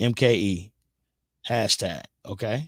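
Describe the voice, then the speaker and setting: A man is speaking. His intonation is lively. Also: very clean recording, silent background. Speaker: comedian, guest radio host. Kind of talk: casual radio show hosting. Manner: fast.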